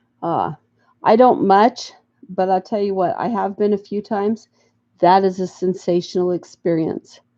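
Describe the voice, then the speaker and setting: Dark and mellow in tone, a woman with an American accent speaks at a moderate pace in a dry, close recording with no echo. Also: medium pitch for a woman, ordinary pitch variation. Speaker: crafting YouTuber. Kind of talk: casual livestream chat. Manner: halting.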